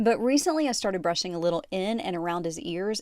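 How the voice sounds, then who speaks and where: Here is an ordinary speaking voice from a woman at medium pitch, with lively intonation. The recording is very clean, with a silent background. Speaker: podcast host and former TV reporter. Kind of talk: host-read sponsor ad.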